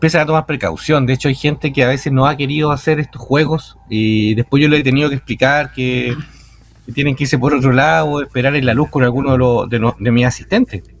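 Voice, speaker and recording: Very fast talk from a man at a medium pitch. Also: ordinary pitch variation. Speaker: night cemetery tour guide. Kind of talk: radio interview answer.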